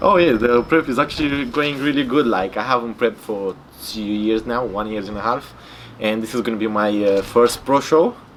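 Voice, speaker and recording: Speech comes in a Romanian accent at a moderate pace with ordinary pitch variation. Background noise is noticeable. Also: man, medium pitch for a man. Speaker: bodybuilder. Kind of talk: interview. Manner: casual, filler-heavy and halting.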